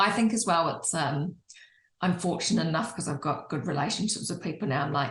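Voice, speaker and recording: This woman's pitch is fairly low with ordinary pitch variation. She talks at a fairly quick pace. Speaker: interior designer. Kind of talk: casual chat. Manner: loud.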